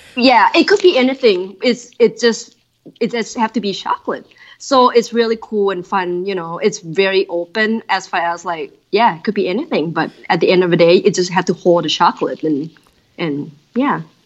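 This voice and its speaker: In a Thai accent, a woman talks at a moderate pace. Her pitch is medium and her intonation lively. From Thailand. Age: 30s. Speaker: design director. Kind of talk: interview. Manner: animated.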